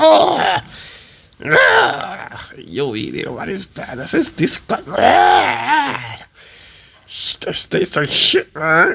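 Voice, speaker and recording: A man speaks at a very slow pace in a put-on character voice. The voice is raspy. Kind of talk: comedic voiceover for funny animal clips. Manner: excited, exclamatory.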